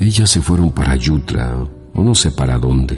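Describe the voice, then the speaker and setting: Over music in the background, a man with a very deep, low pitch speaks at a fairly slow pace. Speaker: radio narrator. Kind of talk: short story reading for radio.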